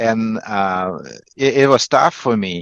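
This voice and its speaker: Over a quiet background, a man with a Russian accent talks at a fairly slow pace and medium pitch with ordinary pitch variation, the sound dry and close with no echo. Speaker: negotiation coach. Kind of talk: interview. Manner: halting, many fillers and repetitions.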